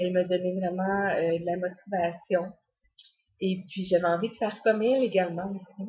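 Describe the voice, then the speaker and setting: The speaker talks fairly slowly with a Quebec accent, sounding somewhat breathy and keeping a fairly even intonation. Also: woman. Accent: Québécois French. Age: 30s. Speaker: fitness coach. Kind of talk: personal testimony. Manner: hesitant, many fillers.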